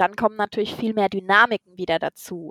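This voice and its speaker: The dry, close sound with no echo carries a woman's medium-pitched voice at a very fast pace with ordinary pitch variation. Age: 30s. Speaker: podcast co-host. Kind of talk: casual chat.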